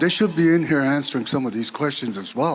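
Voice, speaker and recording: Over noticeable background noise, a man speaks at a fairly high pitch with lively intonation. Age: 60s. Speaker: community member asking questions. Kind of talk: audience question at community meeting. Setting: community hall meeting with audience.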